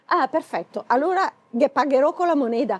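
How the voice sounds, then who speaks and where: In a Lombard accent, a woman speaks at a high pitch and moderate pace with a dark, mellow tone and very wide pitch swings, the sound dry and close with no echo. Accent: Bergamasque dialect. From Bergamo, northern Italy. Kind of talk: humorous casual talk to camera.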